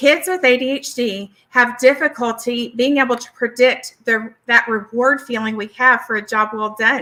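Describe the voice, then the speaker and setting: In a Southern US accent, a woman speaks at a moderate pace with a bright, sharp tone and high pitch. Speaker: licensed therapist and speaker. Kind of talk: educational presentation.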